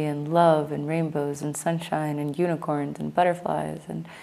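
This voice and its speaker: At a moderate pace, a woman speaks in a very deep, low pitch with a dark, mellow tone and monotone, flat intonation. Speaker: spiritual vlogger. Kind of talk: casual vlog monologue. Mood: earnest, reflective, critical. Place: home room. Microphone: lapel.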